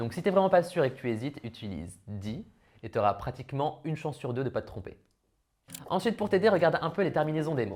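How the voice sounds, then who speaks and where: A man talks at a very fast pace in a fairly high pitch, with very wide pitch swings and vocal fry. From France. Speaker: language learning youtuber. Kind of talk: tutorial. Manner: casual.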